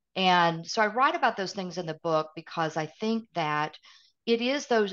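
A medium-pitched woman with a Southern US accent and ordinary pitch variation. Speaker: author and consultant. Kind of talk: interview conversation.

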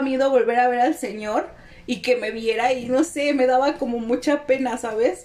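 Speaking with a Mexican accent, a woman has a high voice. Her pace is moderate. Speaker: podcast co-host. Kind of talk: casual chat.

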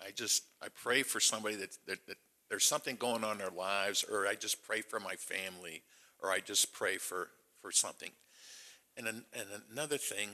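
At a fairly quick pace, a man speaks in a bright, sharp tone at a fairly low pitch with ordinary pitch variation. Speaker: church member. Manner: loud and boisterous.

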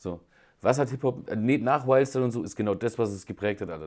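With a normal speaking voice, a man talks at a fairly quick pace with ordinary pitch variation, on a very clean recording with a silent background. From Germany, Schweinfurt (Franconia). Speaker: podcast co-host. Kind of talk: casual chat.

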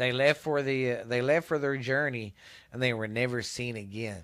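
A man speaks in a medium pitch with a Texas accent. The recording is very clean, with a silent background. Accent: Texas Southern US. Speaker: podcast host. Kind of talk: casual chat. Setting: home recording in cold weather.

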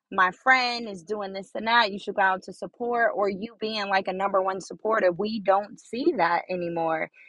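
Speaking at a moderate pace with an unremarkable speaking voice, a woman keeps fairly even intonation at a medium pitch. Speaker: podcaster. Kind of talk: solo motivational talk. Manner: casual, conversational.

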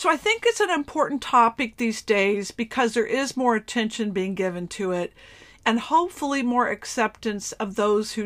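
The recording is very clean with a silent background, and a woman speaks in a normal speaking voice at a fairly high pitch. Her intonation is lively and her pace moderate. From US, Florida. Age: 50s. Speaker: psychic medium podcaster. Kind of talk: casual solo talk. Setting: bedroom of an RV used as a studio.

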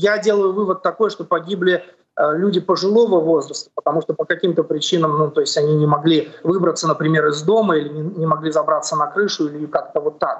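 A man talks at a fairly quick pace with a high pitch and fairly even intonation. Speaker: journalist. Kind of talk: live report. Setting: at home without power, video call. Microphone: connection dropping.

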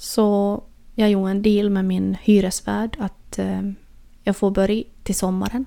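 A woman's medium-pitched, dark and mellow voice, monotone and flat, at a fairly slow pace. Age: 30s. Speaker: podcast host. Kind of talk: personal monologue.

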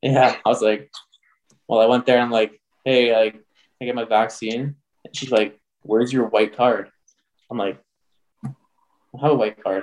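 A man with an Ontario accent speaks at a moderate pace and medium pitch, flat and monotone, leaving long, frequent pauses. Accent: Canadian (Ontario). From Canada. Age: 20s. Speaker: junior hockey player. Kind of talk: casual chat.

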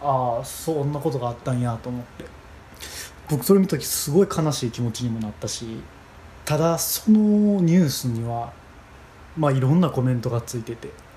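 With a Kansai accent, a man talks fairly quickly at a medium pitch, using lively intonation and long, frequent pauses. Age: 20s. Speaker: podcast host. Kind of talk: solo monologue. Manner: halting.

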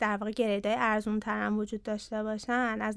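Here a woman with a plain, everyday voice speaks at a moderate pace, her pitch fairly high. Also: very clean recording, silent background. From Iran, Ahvaz (Khuzestan). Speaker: company CEO and co-founder. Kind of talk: interview conversation.

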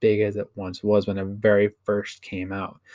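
A man's unremarkable speaking voice, fairly low in pitch, at a moderate pace. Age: 20s. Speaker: gaming streamer and podcast host. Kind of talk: solo casual monologue.

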